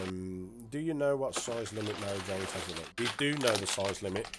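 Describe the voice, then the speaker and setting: Someone talks in a British accent with ordinary pitch variation. Noticeable background noise is present. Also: man. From UK. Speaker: game add-on developer and streamer. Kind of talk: livestream showcase. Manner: casual, hesitant with fillers.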